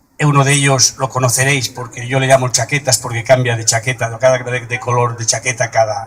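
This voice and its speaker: Over noticeable background noise, a man speaks at a fairly quick pace, his medium-pitched voice keeping a fairly even intonation. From Madrid, Spain. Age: 70s. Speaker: political activist. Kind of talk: political speech. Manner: halting.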